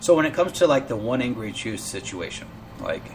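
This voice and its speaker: Noticeable background noise sits behind the speech. A man of medium pitch talks at a fairly quick pace. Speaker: internet radio show host. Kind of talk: casual live show monologue. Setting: live online broadcast. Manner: halting, stuttering.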